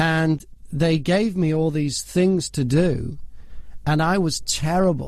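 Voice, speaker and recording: In an English accent, a man speaks at a very slow pace with a fairly high pitch. His intonation is fairly even and his loudness very even. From northwest England, near Liverpool. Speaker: voiceover artist and broadcaster. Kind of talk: interview storytelling.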